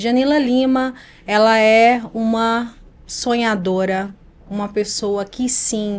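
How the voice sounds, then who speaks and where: In a northeastern Brazilian accent, a woman speaks very slowly at a fairly high pitch with fairly even intonation. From Brazilian Northeast. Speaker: image and communication mentor. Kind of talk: podcast interview.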